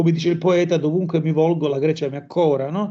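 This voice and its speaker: Noticeable background noise sits behind a man speaking at a fairly quick pace with a fairly high pitch. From Calabria, Catanzaro. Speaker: musician and anthropologist. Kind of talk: interview conversation.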